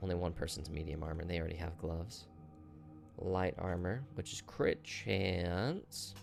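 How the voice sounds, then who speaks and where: Music plays in the background as a man with a very deep, low pitch mumbles at a moderate pace. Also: ordinary pitch variation. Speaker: gaming video creator. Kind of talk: gameplay commentary. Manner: mumbling; animated.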